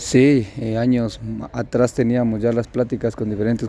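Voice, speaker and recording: The speaker is a man with a medium pitch. He delivers everything in a flat, monotone way. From Guatemala, San Marcos. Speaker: professional footballer. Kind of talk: press interview.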